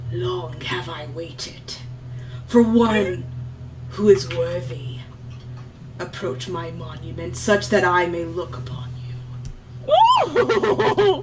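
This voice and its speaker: Whispering in a put-on character voice, the speaker goes at a very slow pace with long, frequent pauses over clear background noise. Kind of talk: solemn, archaic. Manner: whispery, carried on the wind.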